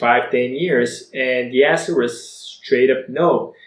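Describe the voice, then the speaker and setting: He speaks with a Bulgarian accent. His voice is fairly high in pitch for a man. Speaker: online entrepreneur. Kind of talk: personal story vlog.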